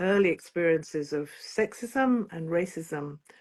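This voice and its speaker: A woman with a Yorkshire accent, lively intonation and a fairly slow pace. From northern England, Bradford. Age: 60s. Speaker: singer-songwriter. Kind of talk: interview.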